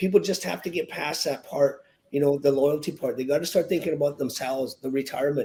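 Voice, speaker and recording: With a Western Canadian accent, a man speaks at a fairly quick pace in a dark, mellow tone with ordinary pitch variation. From Canada, British Columbia (Victoria). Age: 60s. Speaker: real estate agent. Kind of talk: podcast interview. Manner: halting, with repetitions.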